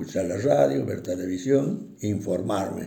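A dark, mellow voice with vocal fry moves at a very slow pace amid audible room echo. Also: man. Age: 80s+. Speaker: retired bank employee, interviewee. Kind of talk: interview. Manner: halting, many fillers.

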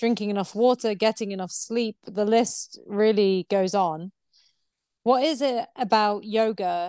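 Against a quiet background, a woman with a dark, mellow tone speaks at a fairly slow pace with fairly even intonation, in a dry, close recording with no echo. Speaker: podcast interviewer and coach. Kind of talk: casual interview.

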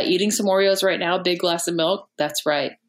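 A woman with an American accent has an unremarkable speaking voice, talking at a moderate pace and a medium pitch with ordinary pitch variation. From rural Texas. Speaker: comedian. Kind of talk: show plug; casual chat.

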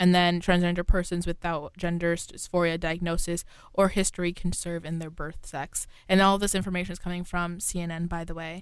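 A woman with an American accent, fairly low in pitch, at a fairly quick pace, with monotone, flat intonation and big swings in loudness. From New York. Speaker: college radio host. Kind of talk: casual news discussion. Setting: radio studio.

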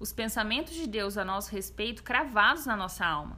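A woman's bright, sharp voice at medium pitch, with vocal fry, at a moderate pace. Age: 20s. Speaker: guest sharing testimony of anxiety. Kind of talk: testimony; casual chat.

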